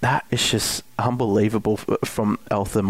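A man speaks at a fairly low pitch with an Australian accent and fairly even intonation. The sound is dry and close with no echo. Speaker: football analyst co-host. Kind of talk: sports podcast discussion.

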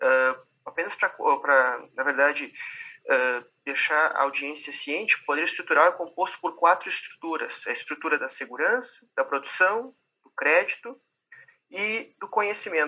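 A man with a Brazilian accent speaks with big swings in loudness. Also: fairly slow pace. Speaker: PhD researcher. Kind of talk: roundtable discussion.

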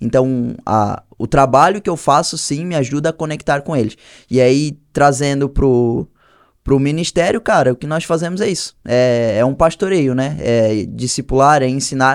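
A man speaks at a moderate pace with ordinary pitch variation, in an unremarkable speaking voice. The recording is very clean, with a silent background. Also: fairly high pitch for a man. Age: 20s. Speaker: clothing brand owner and church youth leader. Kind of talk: casual chat.

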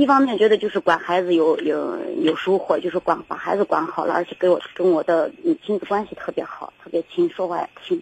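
Against noticeable background noise, a woman speaks at a fairly quick pace with a dry, close sound and no echo. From rural China. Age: 40s. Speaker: caller, rural mother and small trader. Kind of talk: call-in advice show. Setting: phone call. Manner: halting, many repetitions.

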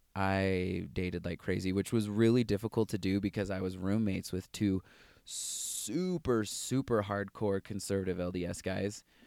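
In a dry, close recording with no echo and a silent, very clean background, a man with an American accent speaks in a plain, everyday voice at fairly low pitch, with fairly even intonation and a moderate pace. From US West, Las Vegas. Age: 20s. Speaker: software professional. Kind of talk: interview, personal testimony.

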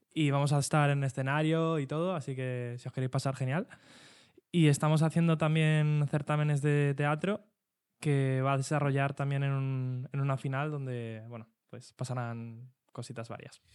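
Very clean recording, silent background, and a man with a fairly high pitch. He speaks at a moderate pace with fairly even intonation. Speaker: youth association educator. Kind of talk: casual chat.

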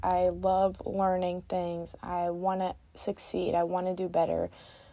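A woman speaking at a fairly slow pace. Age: 20s. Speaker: podcast host. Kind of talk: solo monologue.

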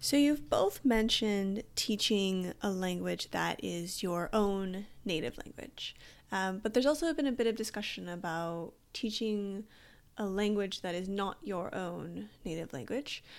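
A woman with a plain, everyday voice speaks at a medium pitch and a fairly slow pace. Her intonation is lively, on a very clean recording with a silent background. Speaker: podcast host. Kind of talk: interview.

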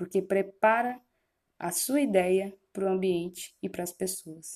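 Here a woman speaks in a medium pitch with a dark, mellow tone. Her pace is moderate. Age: 20s. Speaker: podcast host, student, missionary. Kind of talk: personal podcast monologue. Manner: casual.

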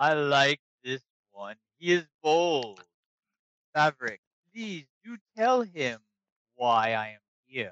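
A man puts on a character voice at a fairly high pitch. He goes at a fairly slow pace with long, frequent pauses. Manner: amused, bold, commanding.

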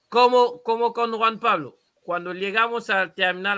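A man's raised, projected voice, bright and sharp in tone, on a very clean recording with a silent background. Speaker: football podcast host. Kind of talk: casual chat. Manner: halting, many repetitions.

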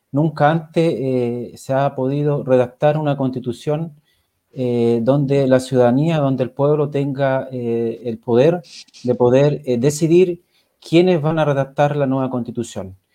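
Speaking at a fairly slow pace, a man uses a medium-pitched voice with a dark, mellow tone and fairly even intonation. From Chile, Coronel. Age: 40s. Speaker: political candidate. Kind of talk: panel interview.

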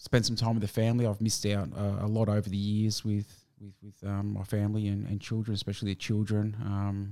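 In an Australian accent, a man speaks fairly quickly at a fairly low pitch with hardly any pauses. His tone is dark and mellow, his intonation monotone and flat. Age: 40s. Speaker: navy veteran. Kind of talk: interview. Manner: halting.

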